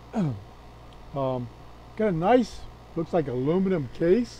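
A man speaks over light background noise. The sound is dry with no echo. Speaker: radio hobbyist. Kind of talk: show-and-tell product walkthrough. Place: workshop.

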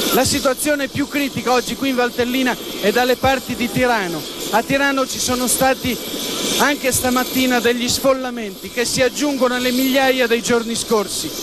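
Noticeable background noise sits behind this man's voice. He speaks at a moderate pace with an extremely high pitch. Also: fairly even intonation. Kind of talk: TV news field report, scripted. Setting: outdoors on location.

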